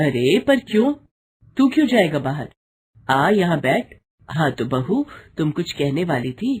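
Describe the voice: A woman in a put-on character voice speaks at a fairly slow pace with a low pitch, big pitch swings, a slightly mellow tone and a husky, rough edge.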